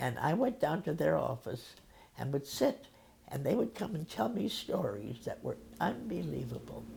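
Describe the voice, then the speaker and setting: A woman with a Midwestern American accent. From Omaha, Nebraska. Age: 80s+. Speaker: social worker. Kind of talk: interview answer.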